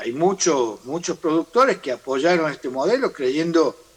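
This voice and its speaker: Lively intonation from a man, fairly high in pitch and moderate in pace. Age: 60s. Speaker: farm sector leader. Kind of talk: interview. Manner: halting.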